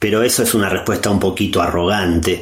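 A man in a monotone, flat intonation, with audible room echo. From Argentina. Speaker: philosopher and podcaster. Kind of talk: prepared monologue.

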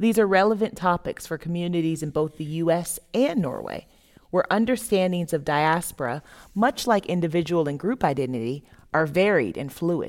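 A woman with an American accent, an ordinary speaking voice, fairly low pitch, lively intonation and moderate pace, very clean recording with a silent background. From US South (Florida). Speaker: theater artist. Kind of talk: reading aloud a written dialogue.

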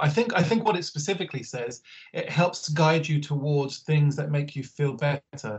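A fairly high-pitched man with a London accent, a moderate pace and ordinary pitch variation. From Northwest London (Harrow). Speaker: LGBTQI asylum support services manager. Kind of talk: interview conversation. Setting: video call.

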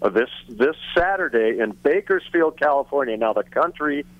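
Lively intonation from an ordinary speaking voice, moving at a moderate pace. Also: man. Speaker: musician. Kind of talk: interview.

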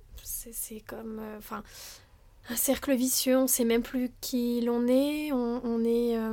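A woman's high-pitched voice with a dark, mellow tone, at a very slow pace with monotone, flat intonation. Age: 30s. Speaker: wellness practitioner and sophrologist. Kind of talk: personal testimony in interview. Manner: hesitant, many fillers and repetitions.

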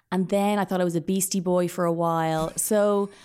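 On a very clean recording with a silent background, a woman with an Irish accent speaks at a medium pitch with fairly even intonation. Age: 30s. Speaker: podcaster. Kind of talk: casual chat.

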